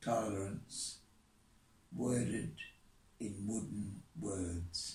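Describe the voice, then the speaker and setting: A man speaks with a fairly low pitch and ordinary pitch variation, sounding somewhat breathy. Room echo can be heard. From England. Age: 80s+. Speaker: poet. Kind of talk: poetry reading. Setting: outdoors. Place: home room.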